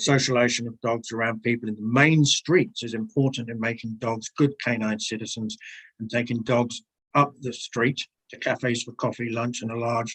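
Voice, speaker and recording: A man with an English accent speaks at a moderate pace in a medium pitch. His intonation stays fairly even, and the sound is dry and close with no echo. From England. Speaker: submitter at council bylaw hearing. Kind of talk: public submission summary at council hearing.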